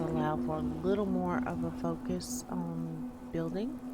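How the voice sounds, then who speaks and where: Soft-spoken and relaxed in tone, a woman talks at a fairly slow pace over music in the background. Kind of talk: casual gameplay commentary, ASMR. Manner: soft-spoken, relaxed.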